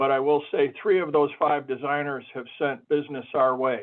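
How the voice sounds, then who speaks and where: A man with a fairly high pitch and fairly even intonation has a plain, everyday voice. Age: 60s. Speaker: sign shop owner. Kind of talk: webinar panel discussion.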